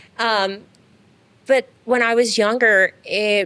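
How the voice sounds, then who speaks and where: At a very slow pace, the voice has a bright, sharp tone and ordinary pitch variation, with a dry, close sound and no echo. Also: woman. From Iran. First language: Farsi. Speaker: dentist and business owner. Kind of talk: interview. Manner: hesitant, many fillers.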